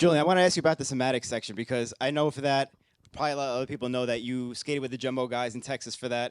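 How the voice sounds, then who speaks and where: A man's medium-pitched voice with a New York accent, very fast and fairly even in intonation, dry and close with no echo, in a very clean recording with a silent background. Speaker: podcast host. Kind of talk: Q&A interview.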